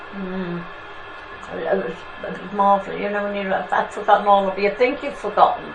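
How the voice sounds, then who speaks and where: Over background music and audible room echo, a woman talks at a fairly quick pace and medium pitch. Her intonation stays fairly even while her loudness swings widely. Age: 80s+. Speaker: oral history interviewee. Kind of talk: oral history interview.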